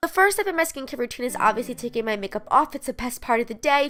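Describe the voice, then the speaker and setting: Over noticeable background noise, a woman talks very fast in a high, upbeat voice with lively intonation. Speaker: beauty vlogger. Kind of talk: casual talk to camera.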